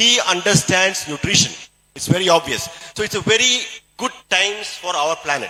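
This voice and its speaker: A man speaks in a Keralan accent with a high pitch. His pace is moderate and his pitch variation ordinary. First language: Malayalam. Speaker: doctor and health product speaker. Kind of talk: motivational health talk.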